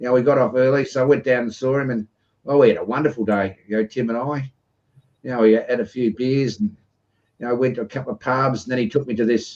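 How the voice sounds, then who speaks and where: A medium-pitched man talks at a very fast pace with an Australian accent. His intonation stays fairly even. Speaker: live stream host. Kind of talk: casual chat. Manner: rambling filler-heavy.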